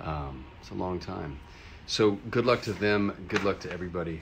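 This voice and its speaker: A man speaks at a fairly slow pace in a very deep, low voice with lively intonation over light background noise. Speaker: livestream host. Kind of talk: casual livestream chat. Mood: upbeat, friendly. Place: home room. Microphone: phone near.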